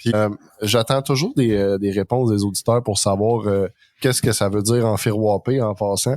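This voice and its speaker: Speaking with a Quebec accent, a man with a fairly low voice talks at a moderate pace, fairly even in intonation and very even in loudness, with a dry, close sound and no echo. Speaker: podcast host. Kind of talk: casual chat.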